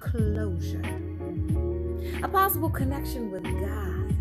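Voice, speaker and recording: Loud background noise surrounds a woman speaking at a fairly slow pace. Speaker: spoken word poet. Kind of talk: spoken word poetry reading. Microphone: phone near.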